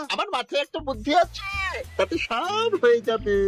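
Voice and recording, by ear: A cartoonish character voice, high-pitched with very wide pitch swings, at a moderate pace over clear music in the background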